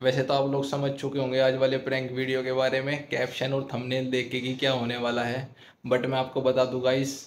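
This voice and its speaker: A man speaks with monotone, flat intonation at a moderate pace. There is light background noise. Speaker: YouTube prank vlogger. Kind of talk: casual vlog chat. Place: home room. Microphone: phone near.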